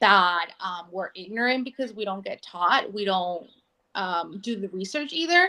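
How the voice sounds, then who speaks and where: Bright and sharp in tone, a woman with a Spanish accent speaks at a fairly slow pace with lively intonation. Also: medium pitch for a woman. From Mexico, Oaxaca. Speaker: political candidate. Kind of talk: interview.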